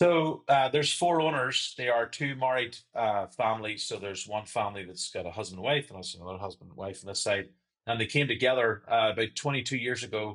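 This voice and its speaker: A man talks fairly quickly in a Northern Irish accent. His pitch varies in an ordinary way. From Northern Ireland. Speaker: sales and marketing director. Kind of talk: interview.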